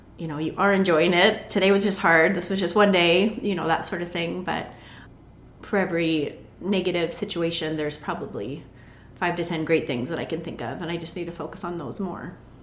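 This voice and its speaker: A woman's fairly low voice with audible room echo. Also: ordinary pitch variation. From Montana, US. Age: 40s. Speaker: juice business owner, former school counselor. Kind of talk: interview.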